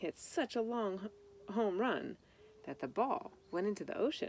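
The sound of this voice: A woman speaks at a medium pitch. Her tone is slightly mellow.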